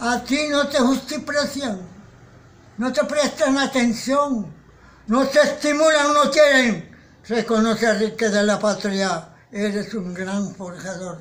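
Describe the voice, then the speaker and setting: This man speaks at a very slow pace in an extremely high pitch, with ordinary pitch variation. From Caribbean coast of Colombia. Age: 80s+. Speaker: poet. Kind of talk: poetry reading. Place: home room. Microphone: phone near.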